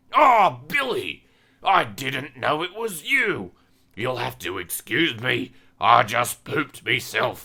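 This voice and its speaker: A raspy, raised, projected put-on character voice. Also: man, medium pitch for a man, fairly slow pace. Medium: read story. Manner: doddering, affectionate.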